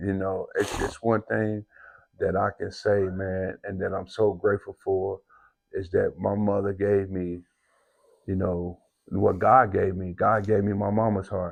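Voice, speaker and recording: Against a quiet background, a man talks in a fairly low voice with monotone, flat intonation. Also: fairly slow pace. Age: 50s. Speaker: podcast host. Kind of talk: casual interview chat.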